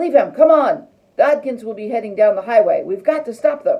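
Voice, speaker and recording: The speaker uses a put-on character voice. The delivery moves at a fairly quick pace. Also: woman, high pitch for a woman. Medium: read story.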